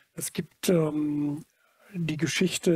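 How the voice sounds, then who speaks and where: Against a quiet background, a man with a fairly high pitch and a dark, mellow tone speaks in a monotone, flat intonation at a fairly slow pace, the sound dry with no echo. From Germany, Munich; Germany. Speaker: photographer; interviewee. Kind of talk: public talk before audience. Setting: stage with audience. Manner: halting. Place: hall. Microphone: headset.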